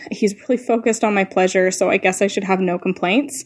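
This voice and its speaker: At a fairly quick pace, a woman talks in an unremarkable speaking voice. Her pitch sits at a medium level. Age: 20s. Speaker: caller. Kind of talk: voicemail question. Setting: phone message.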